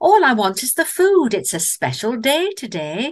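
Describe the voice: A woman does a put-on character voice in a Northern English accent, her pitch fairly high with very wide swings. She speaks at a fairly slow pace.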